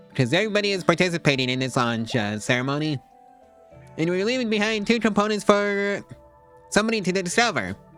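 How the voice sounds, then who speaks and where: With music playing behind him, a man speaks in a high pitch that makes very wide swings. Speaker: gaming video creator. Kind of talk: casual gameplay commentary.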